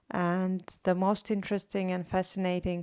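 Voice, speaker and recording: Fairly low-pitched female speech with a Latvian accent, dry and close with no echo, on a very clean recording with a silent background. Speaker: artist vlogger. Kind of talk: casual vlog monologue. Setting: recorded at home late at night.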